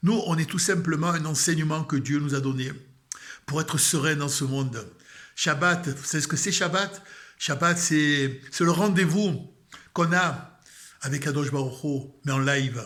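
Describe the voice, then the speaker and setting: A man with a Marseille accent, fairly high-pitched with ordinary pitch variation, at a fairly slow pace, with audible room echo. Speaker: religious video blogger. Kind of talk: spiritual talk. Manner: calm.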